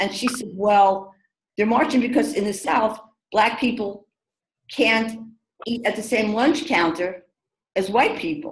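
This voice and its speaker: Speaking in a New York accent, the voice is animated and somewhat breathy, with ordinary pitch variation, at a fairly slow pace. Long, frequent pauses break it up, and room echo is audible. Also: woman, fairly high pitch for a woman. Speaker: diversity consultant. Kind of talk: webinar discussion. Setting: video call. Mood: reflective, storytelling. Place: home room. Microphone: video call.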